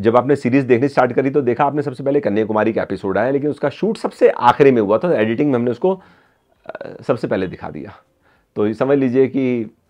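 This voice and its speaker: The background stays quiet as a man talks. His pace is moderate, and his pitch varies in an ordinary way. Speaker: travel vlogger. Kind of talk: casual vlog chat. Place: home room.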